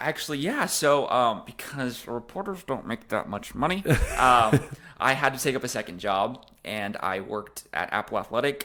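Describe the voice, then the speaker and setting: In an American accent, the voice carries a bright, sharp tone at a moderate pace. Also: man. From California. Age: 20s. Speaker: news anchor. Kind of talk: interview answer.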